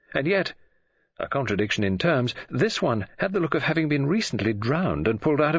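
The speech is plain reading aloud. The background is quiet.

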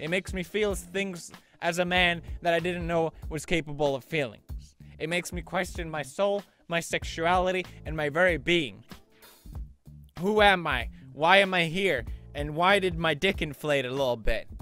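Over music in the background, a man with a high voice and ordinary pitch variation talks at a moderate pace, leaving long, frequent pauses, in a dry sound with no echo. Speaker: video creator. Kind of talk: comedic reaction commentary. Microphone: studio mic.

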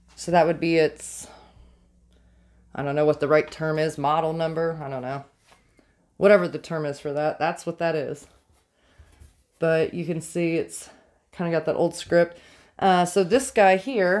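A woman speaks at a moderate pace and a fairly low pitch, with ordinary pitch variation. Long, frequent pauses fall against a quiet background. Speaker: vintage reseller. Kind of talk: casual vlog chat. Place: shop. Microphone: phone near.

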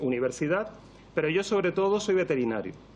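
The man's voice sits high in pitch. Its pitch variation is ordinary. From Canary Islands, Spain. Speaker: veterinarian and toxicology professor; toxicology professor. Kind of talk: parliamentary testimony. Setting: parliament committee hearing. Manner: formal. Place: meeting room. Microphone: podium.

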